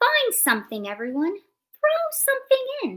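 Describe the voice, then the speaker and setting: A squeaky, female-sounding put-on character voice at an extremely high pitch moves along at a moderate pace. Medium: read story.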